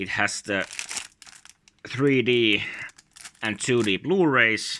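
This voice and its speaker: The speaker has a Finnish accent and a lively, bouncing intonation. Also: man. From Finland. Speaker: YouTuber, collector. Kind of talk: casual show-and-tell video. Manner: halting, many filler sounds.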